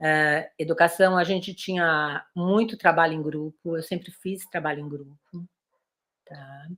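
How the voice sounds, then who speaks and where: Speaking in an unremarkable speaking voice, a woman keeps a fairly low pitch and fairly even intonation while her loudness swings widely. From Brazil, São Paulo. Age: 60s. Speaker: occupational therapist, guest lecturer. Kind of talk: lecture.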